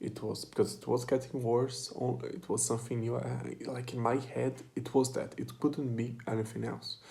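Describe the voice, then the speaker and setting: At a moderate pace and with hardly any pauses, a man talks with a non-native accent. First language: not English. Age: 20s. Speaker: vlogger. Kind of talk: personal monologue. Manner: halting.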